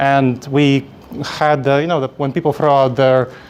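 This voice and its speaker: Speaking at a moderate pace with a Moldovan accent, a man keeps a medium pitch and fairly even intonation. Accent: Eastern European (Moldovan). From Moldova, then New York City from age ten. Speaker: conference speaker, coach trainer. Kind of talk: conference presentation. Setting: stage with audience.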